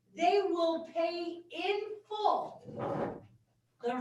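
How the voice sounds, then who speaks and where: A woman speaks loudly at an extremely high pitch. Audible room echo surrounds her voice. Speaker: board member at public hearing. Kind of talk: public hearing debate.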